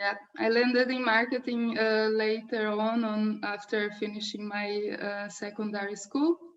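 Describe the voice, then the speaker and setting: Over noticeable background noise, a woman with a Portuguese accent speaks at a fairly slow pace and fairly high pitch, her intonation fairly even and her speech with hardly any pauses. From southern Brazil. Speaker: marketing head. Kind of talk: interview.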